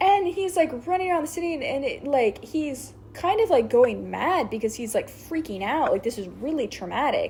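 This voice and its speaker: Amid noticeable background noise, a high-pitched woman speaks at a moderate pace with hardly any pauses and very wide pitch swings. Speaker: show explainer recapping a series. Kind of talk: casual chat.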